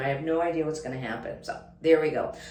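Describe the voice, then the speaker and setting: A woman is heard with audible room echo. Noticeable background noise runs through the clip. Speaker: homestead vlogger. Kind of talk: casual vlog. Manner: hesitant, many fillers; fast.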